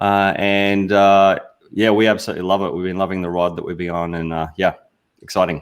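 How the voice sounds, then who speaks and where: With a strong Australian accent, a man talks at a fairly quick pace in a very deep, low pitch and a monotone, flat intonation. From Australia, Sunshine Coast. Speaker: business consultant. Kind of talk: livestream panel discussion. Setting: video call. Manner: hesitant, many fillers.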